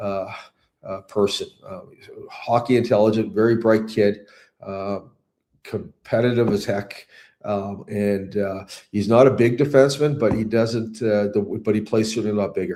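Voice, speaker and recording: A man talks at a moderate pace with a fairly low pitch. His intonation stays fairly even. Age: 60s. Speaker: hockey coach. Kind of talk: interview. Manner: halting, many fillers.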